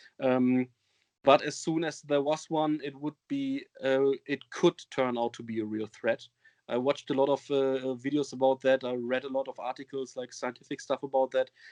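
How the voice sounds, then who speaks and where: The speech comes at a moderate pace in a German accent. Its intonation is monotone and flat. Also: man, medium pitch for a man. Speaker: metal band singer. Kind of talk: interview. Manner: halting, many fillers.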